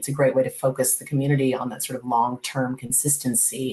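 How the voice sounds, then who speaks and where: A woman with a very deep, low voice speaks at a moderate pace with fairly even intonation. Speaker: policy expert panelist. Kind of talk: panel remarks.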